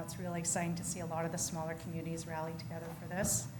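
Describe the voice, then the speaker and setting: A woman is speaking. Room echo is audible. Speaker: community organization representative. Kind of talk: presentation to council. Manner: fast.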